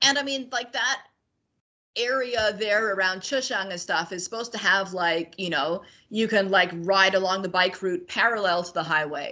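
Using an unremarkable speaking voice, a woman talks at a medium pitch and moderate pace with ordinary pitch variation. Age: 40s. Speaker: cyclist and traveller. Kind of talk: casual interview chat.

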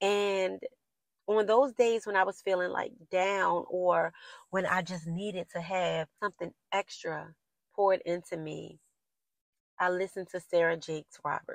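A woman with an unremarkable speaking voice talks at a medium pitch, fairly slowly and with fairly even intonation. The sound is dry and close with no echo, over a quiet background. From US, Baltimore inner city. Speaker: podcast host. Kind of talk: casual solo monologue, motivational.

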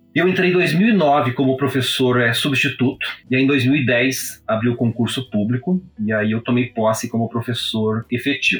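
A man speaks in a somewhat breathy voice with very even loudness. He leaves hardly any pauses. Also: medium pitch for a man, ordinary pitch variation, moderate pace. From Brazil, interior of Paraná (Prudentópolis). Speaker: law professor and painter. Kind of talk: interview. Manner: formal.

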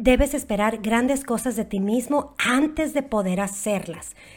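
On a very clean recording with a silent background, a woman with a normal speaking voice talks at a fairly high pitch with ordinary pitch variation. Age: 40s. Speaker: network marketer. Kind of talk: interview.

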